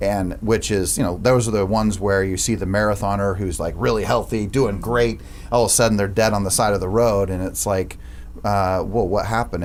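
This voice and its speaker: Fairly quick, fairly low-pitched man's voice with audible room echo. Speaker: business owner. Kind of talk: casual chat. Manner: loud.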